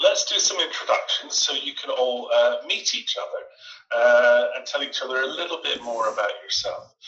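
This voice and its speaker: A man with a Scottish accent talks at a moderate pace. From Scotland. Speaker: online English tutor. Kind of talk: online group class conversation.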